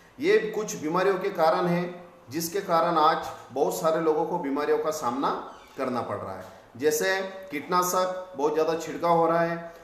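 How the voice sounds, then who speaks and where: A man's high voice with ordinary pitch variation, noticeable background noise, and audible room echo. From Maharashtra, India. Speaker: network marketing presenter. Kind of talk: business presentation. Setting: video call.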